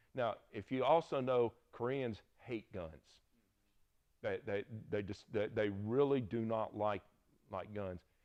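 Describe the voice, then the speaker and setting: A man with a Southern US accent talks at a very slow pace, leaving long, frequent pauses. His pitch is medium with ordinary variation. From US South. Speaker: Bible teacher. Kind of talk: lecture. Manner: casual, conversational.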